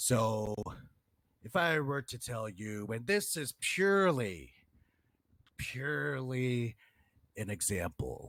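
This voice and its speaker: In a put-on character voice, a man speaks at a medium pitch with very wide pitch swings, a very slow pace and long, frequent pauses, on a very clean recording with a silent background. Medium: game stream. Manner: insistent, argumentative.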